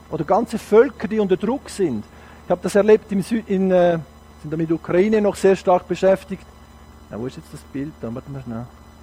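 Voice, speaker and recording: With a dark, mellow tone and a high pitch, a man speaks at a fairly quick pace with lively intonation and big swings in loudness. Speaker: guest preacher. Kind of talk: sermon. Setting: church service. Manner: animated.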